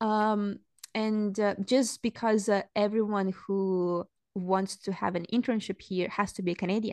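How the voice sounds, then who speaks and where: The speaker talks in a Russian accent with monotone, flat intonation, the sound dry and close with no echo against a quiet background. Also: woman, medium pitch for a woman, fairly slow pace. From Saint Petersburg, Russia. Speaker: anthropology graduate, content creator. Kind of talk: casual interview chat. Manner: hesitant, with fillers.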